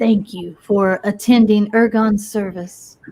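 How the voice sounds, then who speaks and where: A woman's soft-spoken, gruff put-on character voice at a medium pitch, monotone and flat, at a fairly slow pace. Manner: speaking softly.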